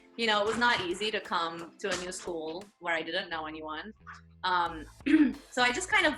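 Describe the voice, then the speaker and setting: There is music in the background. A woman talks with a Russian accent. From Russia, Moscow. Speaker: lawyer. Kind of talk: interview.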